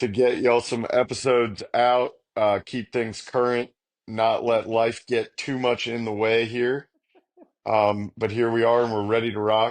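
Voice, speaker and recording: At a medium pitch and a moderate pace, a man speaks in a monotone with flat intonation. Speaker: podcast host. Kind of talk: casual chat. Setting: recorded at night. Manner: casual, filler-heavy.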